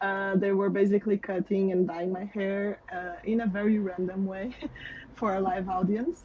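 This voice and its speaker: Speaking with a Portuguese accent at a moderate pace, the voice keeps a monotone, flat intonation. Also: woman, medium pitch for a woman. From Portugal. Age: 30s. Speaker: software developer. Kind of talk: interview.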